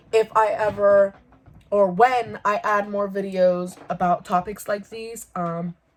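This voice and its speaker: Here a woman has a normal speaking voice at medium pitch. Her intonation stays fairly even. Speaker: YouTuber. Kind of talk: vlog monologue.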